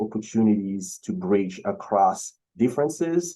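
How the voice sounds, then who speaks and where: With a Beninese accent, a man speaks at fairly low pitch in a dark, mellow tone. His pace is fairly slow and his intonation is lively. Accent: West African (Beninese) accent, noticeable. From Benin, West Africa. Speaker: keynote speaker, singer-songwriter. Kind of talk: keynote speech. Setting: video call. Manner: hesitant, many fillers.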